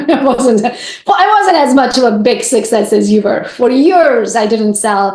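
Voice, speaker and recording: A high-pitched woman talks in an animated, energetic tone with lively intonation at a fairly slow pace, hardly pausing. Her loudness stays very even over noticeable background noise. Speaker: real estate agent and influencer. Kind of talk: podcast interview.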